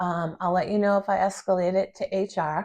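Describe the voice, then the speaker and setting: A woman is speaking. She keeps to a fairly slow pace. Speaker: vlogger. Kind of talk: personal vlog monologue. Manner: hesitant with many fillers.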